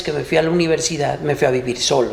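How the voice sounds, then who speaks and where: Against noticeable background noise, a man talks at a fairly quick pace in a fairly high pitch with ordinary pitch variation. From Mexico, Ciudad Guzmán, Jalisco. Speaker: podcast co-host and business owner. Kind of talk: casual chat.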